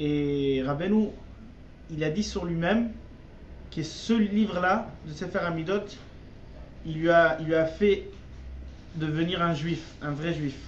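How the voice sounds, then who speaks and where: With audible room echo around him, a man speaks very slowly at a high pitch, using ordinary pitch variation and long, frequent pauses. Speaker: religious teacher. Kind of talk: religious text lesson. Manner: halting.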